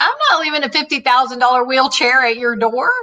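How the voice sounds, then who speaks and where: A woman's high-pitched, put-on character voice in a Texan accent, fairly even intonation at a moderate pace. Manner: firm, incredulous.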